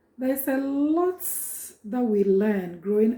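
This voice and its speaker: A woman with a Ghanaian accent, high in pitch, with a dark, mellow tone and ordinary pitch variation. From Ghana, Ashanti and Akyem. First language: Twi. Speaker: prophetess and cultural educator. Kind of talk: informal talk introducing a reading.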